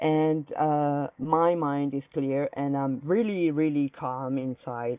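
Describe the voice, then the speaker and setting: A woman with an Italian accent speaks at a very slow pace. Her pitch is very deep and low, with ordinary pitch variation. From Italy. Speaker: activist in a dispute. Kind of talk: heated debate. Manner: halting, hesitant.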